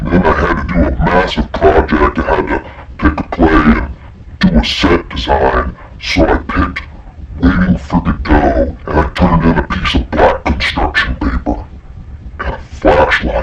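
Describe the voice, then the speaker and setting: Over clear background noise, a man does a put-on character voice with a very deep, low pitch at a moderate pace. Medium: stage. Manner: tired.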